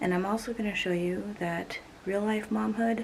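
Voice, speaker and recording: Over noticeable background noise, a soft-spoken woman talks at a fairly slow pace with lively intonation. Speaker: cleaning and mom vlogger. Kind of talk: vlog narration. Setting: at home. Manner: quiet, soft-spoken; casual, hesitant with fillers.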